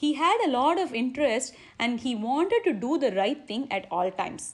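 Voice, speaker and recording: With a Tamil accent, a woman speaks at a high pitch and a moderate pace. Her pitch swings very widely over a quiet background. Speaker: religious speaker. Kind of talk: religious discourse. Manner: halting.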